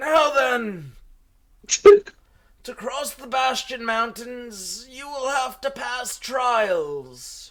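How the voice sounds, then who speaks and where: A man shouts in a put-on character voice at an extremely high pitch, with lively intonation. His pace is very slow and his loudness swings widely. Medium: actual play. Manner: grandiose, forgetful, irritable.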